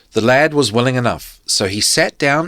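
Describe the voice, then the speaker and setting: A man with a New Zealand accent makes very wide pitch swings. The sound is dry and close, with no echo. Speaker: podcast host. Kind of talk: reading aloud.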